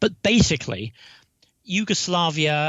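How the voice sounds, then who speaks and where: A man with a British accent and very wide pitch swings. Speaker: retired diplomat. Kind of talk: interview.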